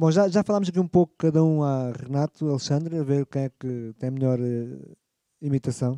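With a dark, mellow tone and a fairly high pitch, a man speaks at a moderate pace with ordinary pitch variation, the sound dry and close with no echo. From Lisbon, Portugal. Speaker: livestream interview host. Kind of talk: casual interview.

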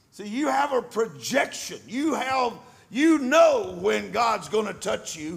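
Noticeable background noise sits under a man speaking very slowly at an extremely high pitch, his pitch swinging very widely and his loudness rising and falling a lot. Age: 70s. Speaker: preacher. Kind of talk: sermon.

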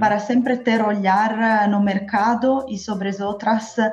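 Over noticeable background noise, a woman with an Italian accent speaks with fairly even intonation. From Italy. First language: Italian (speaking Portuguese). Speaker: marketing director. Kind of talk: interview. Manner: halting.

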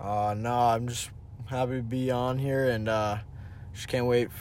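A man's medium-pitched voice with a New England accent, at a moderate pace, flat and monotone, with audible room echo. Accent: American (New England). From Connecticut, US. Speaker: hockey player. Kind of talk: casual chat.

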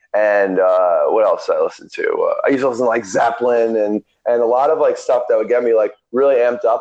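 He talks at a fairly quick pace. The man has an American accent. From New Jersey. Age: 20s. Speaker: amateur grappling athlete. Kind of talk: casual chat. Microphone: connection audio jumps.

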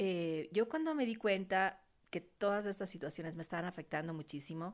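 On a very clean recording with a silent background, a woman speaks at medium pitch. Her pace is moderate and her pitch variation ordinary. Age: 40s. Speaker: podcast host, beautician and massage therapist. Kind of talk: personal testimony monologue. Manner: hesitant, many fillers.

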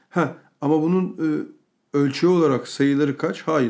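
The man talks at a fairly slow pace, and his tone is dark and mellow. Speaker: podcast co-host. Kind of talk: casual chat.

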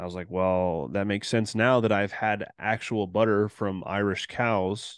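This man has an unremarkable speaking voice, fairly low in pitch with fairly even intonation, at a moderate pace. The sound is dry and close with no echo, over a quiet background. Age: 30s. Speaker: podcast co-host, conspiracy show. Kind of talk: casual chat.

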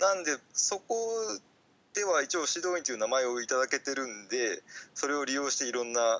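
Pausing long and often, a man talks at a fairly quick pace with a fairly high pitch and lively intonation. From Fukuoka, Japan. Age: 30s. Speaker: podcaster and part-time farmer. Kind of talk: casual interview chat. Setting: remote call recording. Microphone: Skype call audio, less clear than usual.

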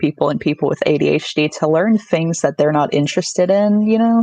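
A woman with an American accent speaks at a fairly quick pace in a dark, mellow tone. The sound is dry and close, with no echo. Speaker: podcast guest. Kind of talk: casual chat. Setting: video call.

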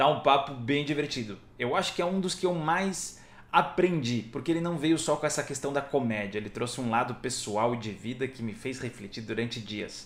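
This is an ordinary speaking voice from a man at medium pitch. He talks at a moderate pace with lively intonation and hardly any pauses. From Brazil, Ilhabela (São Paulo coast). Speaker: actor and comedian podcast host. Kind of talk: casual chat.

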